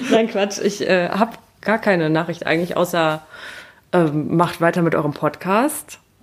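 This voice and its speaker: Speaking at a moderate pace, a woman with a fairly low pitch keeps her loudness very even and her pitch variation ordinary. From Siegerland, Germany. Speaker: photographer and travel blogger. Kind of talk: casual chat.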